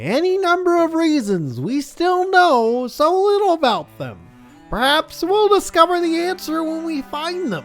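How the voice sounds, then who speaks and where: A man puts on a character voice at an extremely high pitch, with faint music playing in the background. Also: moderate pace. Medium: game stream.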